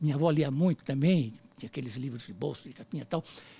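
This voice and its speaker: Speaking fairly quickly, a man uses a plain, everyday voice with a fairly high pitch. The sound is dry and close with no echo, and the recording is very clean over a silent background. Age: 60s. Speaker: illustrator. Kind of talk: casual chat. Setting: studio.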